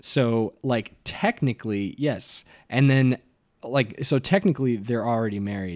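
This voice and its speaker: At a fairly slow pace, a man speaks in a plain, everyday voice at a medium pitch, with ordinary pitch variation and a dry, close sound with no echo. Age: 20s. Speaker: musician. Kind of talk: casual chat.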